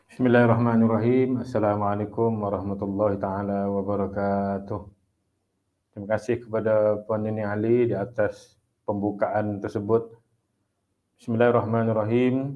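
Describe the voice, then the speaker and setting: His voice is fairly low and monotone, with flat intonation. The man speaks at a moderate pace. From Sabah, Malaysia. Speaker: Islamic studies academic; webinar speaker. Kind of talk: motivational talk. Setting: online webinar. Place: home room. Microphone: earbuds.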